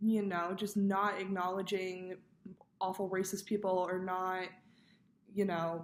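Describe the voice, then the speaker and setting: Delivered at a fairly slow pace, the speech is monotone and flat, broken by long, frequent pauses. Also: woman, medium pitch for a woman. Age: 20s. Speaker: college student. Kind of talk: personal video reflection for class. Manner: casual, with frequent fillers.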